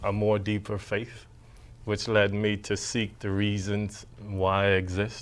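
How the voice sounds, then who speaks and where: Speaking in a Bahamian accent, a man with a fairly low pitch takes a fairly slow pace. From Bahamas. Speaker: poet and actor. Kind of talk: interview.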